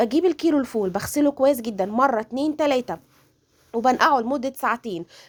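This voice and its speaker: A woman speaks with lively intonation at a high pitch. The sound is dry and close, with no echo. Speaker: cooking channel host. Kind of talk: cooking tutorial. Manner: halting, self-correcting.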